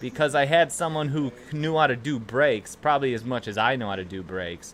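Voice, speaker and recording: Talking at a fairly quick clip, a speaker with an American accent is heard against noticeable background noise. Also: man. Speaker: streamer. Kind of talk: casual chat. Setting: live stream. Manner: casual, filler-heavy.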